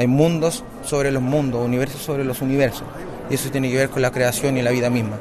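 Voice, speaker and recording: Speaking very fast in a medium pitch, a man holds a monotone, flat intonation, with audible room echo and noticeable background noise. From Chile, Valparaíso. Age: 30s. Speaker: bolero singer-songwriter. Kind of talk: interview. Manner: halting.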